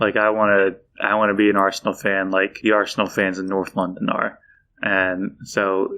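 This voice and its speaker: A man talks in a fairly low voice at a moderate pace. His intonation is monotone and flat. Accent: Philadelphia. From Philadelphia, US. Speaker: football fan, library patron. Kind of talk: casual podcast chat. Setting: podcast recording.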